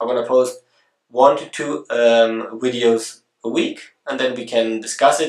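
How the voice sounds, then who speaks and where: This man has a German accent. He speaks at a moderate pace. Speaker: photography video blogger. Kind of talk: casual vlog introduction. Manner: halting, with many fillers and restarts.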